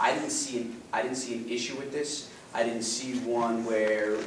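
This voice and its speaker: With noticeable background noise and audible room echo, a man speaks in a flat monotone. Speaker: town councilman. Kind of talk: meeting remarks. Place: meeting room. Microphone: camera far.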